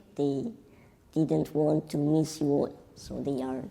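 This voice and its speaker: A woman with a non-native accent, a very deep, low pitch and a dark, mellow tone with vocal fry, fairly slow, with ordinary pitch variation. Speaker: workshop moderator. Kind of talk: event moderation. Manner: halting.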